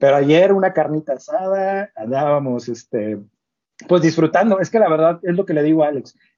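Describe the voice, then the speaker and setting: An ordinary speaking voice from a man, lively in intonation, at a moderate pace. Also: fairly high pitch for a man. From northern Mexico, Ciudad Victoria. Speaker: robotics company co-founder, doctoral researcher. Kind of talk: casual interview.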